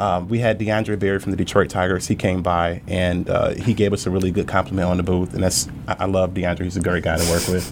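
The delivery is monotone and flat, with hardly any pauses, over noticeable background noise. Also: man, very deep, low pitch for a man, fairly quick pace. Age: 30s. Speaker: business owner. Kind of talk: interview podcast.

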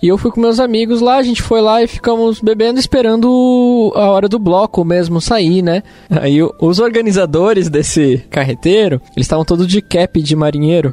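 Over music in the background, a man with a high voice speaks at a moderate pace with lively intonation. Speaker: software company employee. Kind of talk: casual chat.

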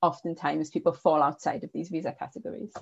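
A woman's fairly low voice with vocal fry moves at a fairly quick pace. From northern England. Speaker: politics lecturer. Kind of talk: academic discussion.

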